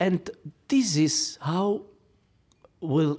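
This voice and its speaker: A man speaks at a very slow pace with an Italian accent, on a very clean recording with a silent background. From Italy. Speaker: opera singer. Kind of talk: panel discussion. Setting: stage with audience. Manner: halting.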